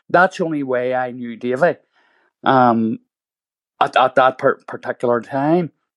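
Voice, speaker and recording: Against a quiet background, a man with a Belfast accent speaks at a fairly slow pace with long, frequent pauses and ordinary pitch variation, in a dry, close sound with no echo. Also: medium pitch for a man. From Northern Ireland, east Belfast. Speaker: playwright and former prisoner. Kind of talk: interview. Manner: halting.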